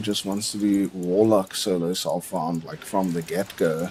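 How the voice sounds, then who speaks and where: A man speaks with a South African accent at a fairly slow pace. Background noise is noticeable. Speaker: gaming streamer. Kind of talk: casual live stream commentary. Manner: casual, rambling with fillers.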